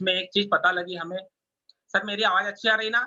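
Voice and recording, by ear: This man's voice sits high in pitch, with a bright, sharp tone. He keeps a moderate pace and ordinary pitch variation.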